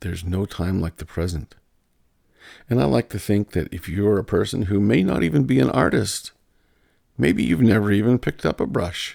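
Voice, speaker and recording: The tone is dark and mellow, with vocal fry. The recording is very clean over a silent background. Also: man. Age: 60s. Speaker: artist and painter. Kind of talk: casual monologue. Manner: halting, with repeated words.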